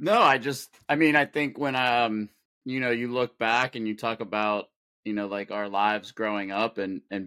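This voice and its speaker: A man with an American accent, fairly low in pitch, with fairly even intonation and a bright, sharp tone, in a very clean recording with a silent background and a dry, close sound with no echo. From Pittsburgh, Pennsylvania. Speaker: swim coach and parent of transplant patient. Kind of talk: casual interview.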